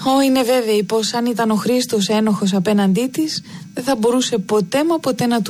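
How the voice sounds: The voice here reads in a natural way.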